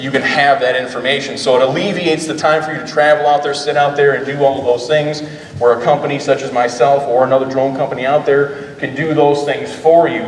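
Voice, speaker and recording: There is audible room echo and noticeable background noise as a man speaks at a fairly high pitch with fairly even intonation. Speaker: drone company owner presenting. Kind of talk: conference presentation. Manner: loud.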